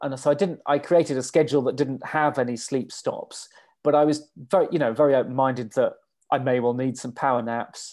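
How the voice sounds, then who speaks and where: Against a quiet background, a man with an English accent talks at a fairly quick pace in a fairly high pitch and fairly even intonation. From England. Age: 40s. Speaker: ultrarunner. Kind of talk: interview. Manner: halting.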